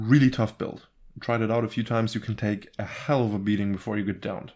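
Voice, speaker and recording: A man with a non-native accent and a fairly low pitch, at a very fast pace against a quiet background. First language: not English. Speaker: gaming YouTuber. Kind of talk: gameplay rant. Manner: animated; halting.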